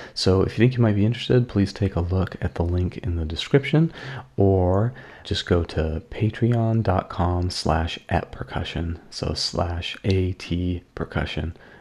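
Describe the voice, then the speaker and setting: Somewhat breathy and very deep in pitch, a man talks at a fairly slow pace with ordinary pitch variation. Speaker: podcast co-host and percussionist. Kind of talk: casual chat. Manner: playful.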